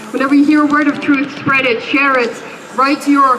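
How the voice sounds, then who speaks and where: A woman speaks at a fairly quick pace in a high pitch, with noticeable background noise behind her. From Egypt. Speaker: protest speaker. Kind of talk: protest speech. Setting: outdoors at a street protest. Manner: impassioned.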